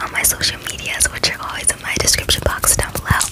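Over loud background noise, a soft-spoken woman talks at a fairly quick pace. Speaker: ASMR creator. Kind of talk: casual vlog chat. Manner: soft close-mic ASMR talk. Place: home room. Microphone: studio mic.

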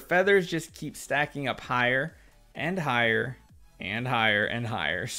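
A man with a bright, sharp tone and very wide pitch swings on a very clean recording with a silent background. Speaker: gaming youtuber. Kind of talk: gameplay commentary. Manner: casual, conversational.

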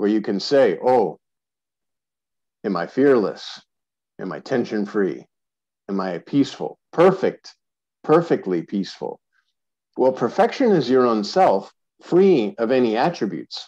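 A man speaks in a dark, mellow tone with very wide swings in pitch. He leaves long, frequent pauses against a quiet background. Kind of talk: spiritual teaching talk. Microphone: video call.

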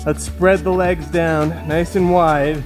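A man at a fairly slow pace over clear background music. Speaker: fitness instructor. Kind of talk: workout instruction. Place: home room.

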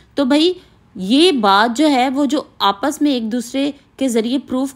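Against a quiet background, a woman with a high pitch speaks at a very slow pace with lively intonation. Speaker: vlogger. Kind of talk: casual vlog chat. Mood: earnest, mildly upset explaining.

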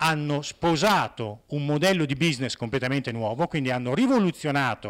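A man at a fairly quick pace, lively intonation, quiet background. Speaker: conference speaker. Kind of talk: conference talk. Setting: conference hall with audience. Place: hall. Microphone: handheld.

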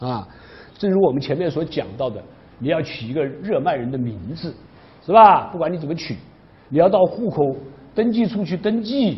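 A man talks at a moderate pace with a fairly high pitch. He leaves long, frequent pauses. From China. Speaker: university history professor. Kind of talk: lecture. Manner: frequent filler particles. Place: classroom. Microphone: lapel.

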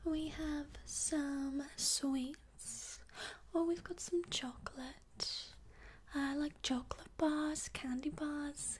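A soft-spoken woman's high, gentle voice, very slow and monotone with flat intonation, over light background noise. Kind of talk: ASMR-style role-play talk to viewer. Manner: soft-spoken gentle ASMR shopkeeper voice.

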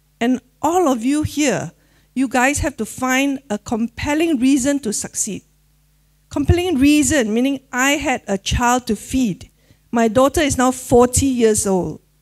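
Over a quiet background, a woman with a high voice speaks at a fairly slow pace with ordinary pitch variation. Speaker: presenter. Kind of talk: motivational talk. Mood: warm, emotional, some laughter. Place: hall. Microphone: handheld.

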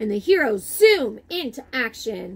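Speaking at a fairly slow pace, a woman with a fairly high pitch and a slightly husky edge makes big pitch swings.

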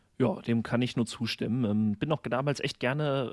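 A man talks in a somewhat breathy voice. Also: dry, close sound with no echo. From western Germany, near Koblenz. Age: 30s. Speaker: primary school teacher, podcaster. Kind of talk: casual chat.

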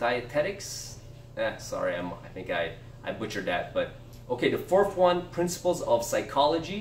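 Delivered at a moderate pace, the speech carries audible room echo along with light background noise. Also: man. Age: 30s. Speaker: book review youtuber. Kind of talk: casual video monologue. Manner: halting, many fillers. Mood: relaxed, a bit self-deprecating. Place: home room. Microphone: camera far.

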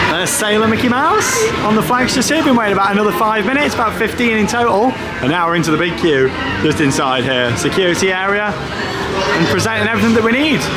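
Clear music is heard in the background. Over it, a man talks very fast. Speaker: travel vlogger. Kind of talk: casual vlog chat. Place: station. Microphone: phone near.

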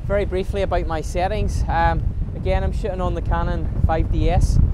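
Against loud background noise, speech at a moderate pace comes through with a dry sound and no echo. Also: man. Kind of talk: casual vlog chat. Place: beach. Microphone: phone near.

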